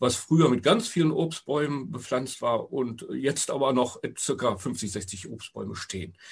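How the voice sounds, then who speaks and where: At a moderate pace, the voice is somewhat breathy, with lively intonation. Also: man. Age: 60s. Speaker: retiree and local project initiator. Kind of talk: casual interview. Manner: halting, with fillers.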